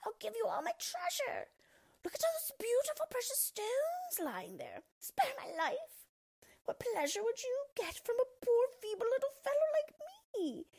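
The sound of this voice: Using a put-on character voice, a woman speaks at a fairly slow pace in an extremely high, shrill pitch with a slightly mellow tone and very wide pitch swings.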